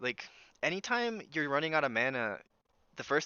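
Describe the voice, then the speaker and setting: The man speaks with lively intonation. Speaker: video game streamer. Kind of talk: gameplay commentary. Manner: loud.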